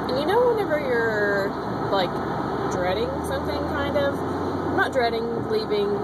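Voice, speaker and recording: A woman keeps a moderate pace while loud background noise fills the clip. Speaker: vlogger. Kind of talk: casual vlog chat. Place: car. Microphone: phone near.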